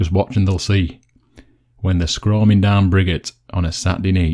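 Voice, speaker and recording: This man has a very deep, low pitch and a dark, mellow tone. He speaks with a Yorkshire accent and ordinary pitch variation. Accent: broad Yorkshire. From Yorkshire, West Riding. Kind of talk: dialect poetry reading.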